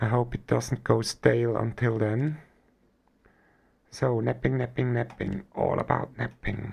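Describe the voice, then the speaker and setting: Speaking with a German accent, a man moves at a fairly slow pace with long, frequent pauses. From Switzerland. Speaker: gaming streamer. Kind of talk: live gameplay stream chat.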